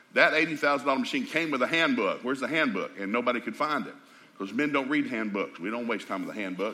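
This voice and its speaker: Against noticeable background noise, a man with a Southern US accent speaks at a very fast pace with ordinary pitch variation. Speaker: preacher. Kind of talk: folksy, humorous storytelling. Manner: fast talker.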